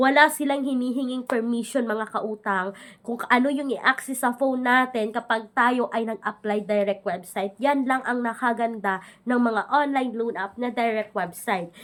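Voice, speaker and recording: A woman with a high pitch speaks at a moderate pace with fairly even intonation and hardly any pauses. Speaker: loan app reviewer, YouTuber. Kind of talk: product review vlog. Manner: conversational.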